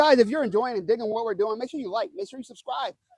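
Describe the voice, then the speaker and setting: A man speaks with lively intonation and an animated tone. The sound is dry and close, with no echo. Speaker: news show host. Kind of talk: casual news commentary. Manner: fast.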